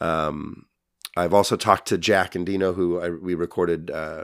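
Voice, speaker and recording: In an American accent, a gravelly man speaks with a very deep, low pitch and a monotone, flat intonation. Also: very clean recording, silent background. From Tucson, Arizona. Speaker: musician. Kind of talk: casual interview chat.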